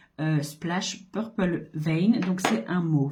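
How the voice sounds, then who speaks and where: A woman's somewhat breathy, dark, mellow voice at a very slow pace, with audible room echo. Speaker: makeup seller and beauty vlogger. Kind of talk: makeup tutorial. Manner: casual, hesitant with fillers.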